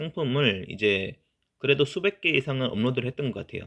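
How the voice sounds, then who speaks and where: A man speaks at a medium pitch. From provincial South Korea (outside Seoul). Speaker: online seller YouTuber. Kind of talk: talking-head vlog. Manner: hesitant, many fillers.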